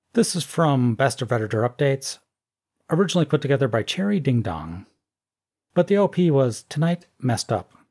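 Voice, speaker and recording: Recorded very cleanly over a silent background, a man with a fairly high pitch and a somewhat breathy voice speaks at a fairly quick pace with very wide pitch swings and long, frequent pauses. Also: dry, close sound with no echo. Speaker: YouTube commentator. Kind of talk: scripted commentary reading social media posts with sarcastic remarks.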